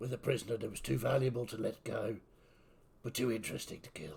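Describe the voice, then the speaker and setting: Putting on a character voice, a man rattles along at a very fast pace with a raspy, medium-pitched sound. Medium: actual play. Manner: formal, polite, addresses the captain with deference.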